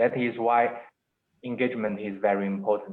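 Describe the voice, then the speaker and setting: A man with a non-native accent, medium pitch and a fairly slow pace. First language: Chinese. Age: 20s. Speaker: entrepreneur. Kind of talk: webinar interview. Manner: halting.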